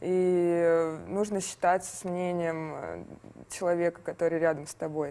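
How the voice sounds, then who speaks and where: A woman with a fairly low pitch and a dark, mellow tone talks at a fairly slow pace with monotone, flat intonation and long, frequent pauses. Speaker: interviewer. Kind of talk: interview. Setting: studio.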